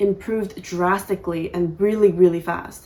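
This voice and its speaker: A woman talks at a medium pitch with an American accent. Her intonation stays monotone and flat. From United States. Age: 20s. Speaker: YouTuber. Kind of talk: casual rant to camera. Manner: casual, many fillers.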